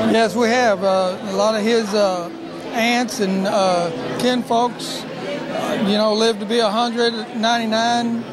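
Against noticeable background noise, a man talks at a fairly slow pace. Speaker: son of the birthday honoree. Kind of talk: interview answer. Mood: warm, fond. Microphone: handheld.

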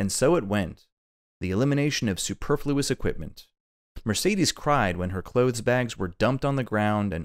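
Quiet surroundings, lively intonation, and a natural reading voice

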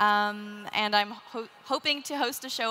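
A woman is speaking. She has a Canadian accent. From Canada. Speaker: inventor and writer; panelist. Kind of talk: panel discussion. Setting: stage with live audience. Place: stage. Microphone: headset.

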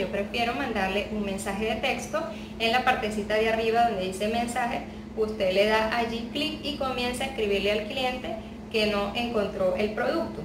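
Noticeable background noise sits under this recording. A woman speaks with ordinary pitch variation. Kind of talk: tutorial. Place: home room.

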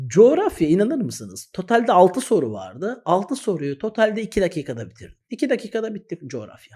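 A man with a high pitch and a dark, mellow tone speaks at a moderate pace with hardly any pauses, very wide pitch swings and big swings in loudness. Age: 30s. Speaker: exam-prep teacher, YouTuber. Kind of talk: direct-to-camera advice talk.

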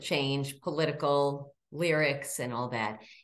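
A woman speaking at a very slow pace. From Maryland. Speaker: state senator and folk show host. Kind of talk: interview. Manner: warm. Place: home room. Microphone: video call.

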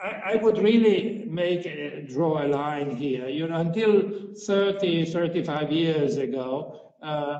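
A man speaks at a slow pace with few pauses, lively intonation, a fairly high pitch and a slightly mellow tone.

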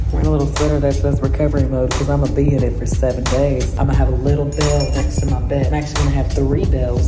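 A woman speaks at a very fast pace with hardly any pauses. Clear music plays in the background. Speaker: vlogger. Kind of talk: casual vlog chat. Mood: nervous before surgery.

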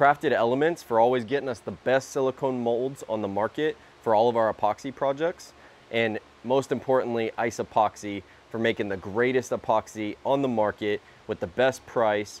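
With a dry sound and no echo, a man speaks at a moderate pace, his pitch varying in an ordinary way. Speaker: woodworking channel host. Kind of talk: casual vlog chat. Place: workshop.

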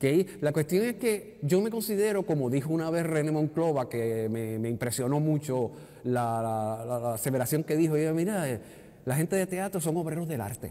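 A man talks at a moderate pace in a dark, mellow tone. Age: 60s. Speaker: retired theatre technical director and actor; actor. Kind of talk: interview. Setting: theatre lobby. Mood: relaxed, anecdotal storytelling. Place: hall.

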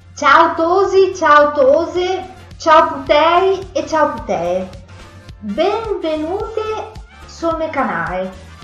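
Over faint background music and audible room echo, a woman with a Venetian accent speaks very slowly. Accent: Venetian, Paduan. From Padua, Veneto, Italy. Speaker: vlogger. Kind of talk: casual talk to camera. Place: kitchen. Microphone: webcam.

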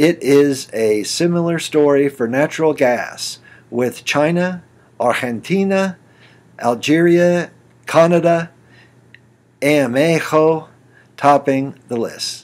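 Speaking slowly with long, frequent pauses, a man uses a fairly high pitch. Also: ordinary pitch variation.

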